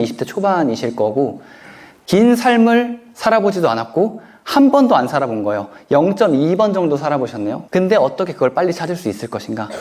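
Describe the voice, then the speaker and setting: Noticeable background noise sits behind this voice. A man speaks at a high pitch with very wide pitch swings. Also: fairly quick pace. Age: 30s. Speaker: author. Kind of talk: lecture Q&A.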